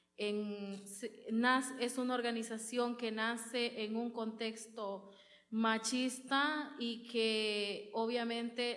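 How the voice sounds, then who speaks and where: The speaker's intonation is monotone and flat, with audible room echo. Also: woman. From rural Honduras. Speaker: women's rights organizer. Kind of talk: conference talk. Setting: auditorium with audience.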